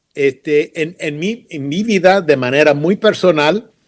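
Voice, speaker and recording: A man at a very slow pace, with lively intonation. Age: 70s. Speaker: missionary and educator. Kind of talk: interview. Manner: halting.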